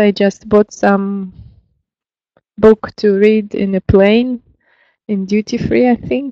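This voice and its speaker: A woman with a Russian accent speaks very slowly at a medium pitch, in a dark, mellow tone. Her intonation is fairly even, and the sound is dry and close with no echo. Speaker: lecturer. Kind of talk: lecture. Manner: hesitant, many fillers.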